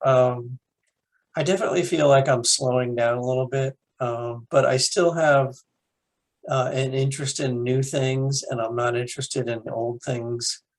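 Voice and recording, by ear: A man speaks at a fairly slow pace. His pitch is medium and his intonation fairly even.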